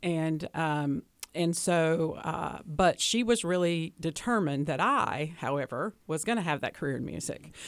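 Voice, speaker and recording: Speaking in a Southern US accent, a woman with a fairly low pitch and ordinary pitch variation talks at a fairly slow pace with hardly any pauses. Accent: Southern, trying to lose it. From US South, Hickory, North Carolina. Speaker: guest on interview show. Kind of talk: interview. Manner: hesitant fillers.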